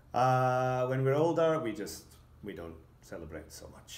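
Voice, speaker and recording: A man's fairly slow speech comes with audible room echo around it. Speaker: English teacher. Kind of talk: scripted teaching dialogue. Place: classroom.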